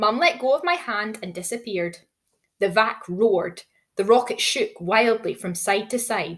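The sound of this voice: There is an unforced reading voice over a quiet background.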